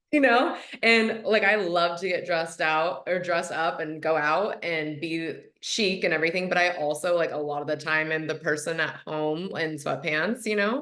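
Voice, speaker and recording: The speech moves at a moderate pace with ordinary pitch variation. Audible room echo is present. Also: woman, fairly low pitch for a woman. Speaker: hypnotherapist and manifestation coach. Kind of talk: podcast interview. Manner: casual, chatty.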